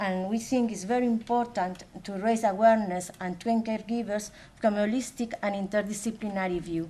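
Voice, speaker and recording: Somewhat breathy and dark, mellow in tone, a woman speaks at a fairly quick pace and fairly high pitch with fairly even intonation. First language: Spanish. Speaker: academic coordinator. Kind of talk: conference presentation. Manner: halting.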